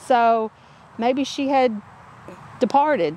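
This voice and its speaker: A woman's high voice in a dry sound with no echo. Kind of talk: casual vlog chat. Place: garden.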